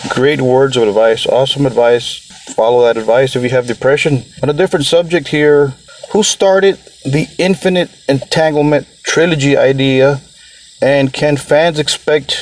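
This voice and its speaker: Speaking at a moderate pace with ordinary pitch variation and very even loudness, a man comes through over noticeable background noise. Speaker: podcast host. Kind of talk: interview. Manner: enthusiastic.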